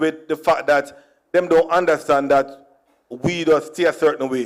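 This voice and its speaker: At a moderate pace, a man talks with a Jamaican accent. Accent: Jamaican, with patois. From Jamaica (Kingston, Trenchtown). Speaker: comedian. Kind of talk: stand-up. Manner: animated.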